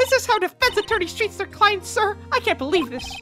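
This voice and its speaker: Over faint music in the background, a woman puts on a squeaky character voice at an extremely high pitch, with very wide pitch swings and a fairly quick pace. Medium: solo performance. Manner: emotional, dramatic.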